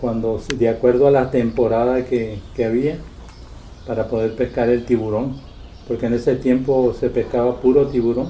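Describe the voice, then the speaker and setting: A man's dark, mellow tone comes at a medium pitch and moderate pace, with monotone, flat intonation. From Loreto, Baja California Sur, Mexico. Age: 70s. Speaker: retired fisherman. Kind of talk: interview.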